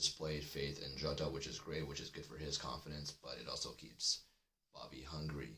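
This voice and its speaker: A man with a very deep, low pitch and vocal fry speaks in a bright, sharp tone with monotone, flat intonation. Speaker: football podcast host. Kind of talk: live stream fan chat. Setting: live stream. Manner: kept deliberately low.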